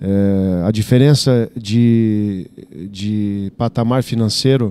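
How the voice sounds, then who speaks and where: A man's dark, mellow tone with fairly even intonation, dry with no echo. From Brazil, Santa Catarina. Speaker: football coach. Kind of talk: press conference. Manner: halting, many fillers and repetitions. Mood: calm, measured. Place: meeting room. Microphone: handheld.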